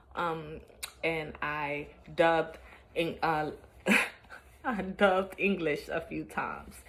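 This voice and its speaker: With audible room echo, a woman at a fairly low pitch speaks at a very slow pace with long, frequent pauses and fairly even intonation. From New York (Brooklyn). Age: 20s. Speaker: vlogger. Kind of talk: casual vlog monologue. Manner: halting, many fillers.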